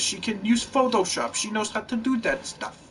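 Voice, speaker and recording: A man with an extremely high pitch uses a raised, projected voice at a moderate pace over noticeable background noise. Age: 20s. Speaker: gaming YouTuber. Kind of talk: casual monologue. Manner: rambling, halting.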